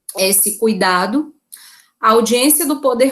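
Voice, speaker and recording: Background noise is noticeable here. The voice belongs to a woman. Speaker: law professor. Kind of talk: lecture.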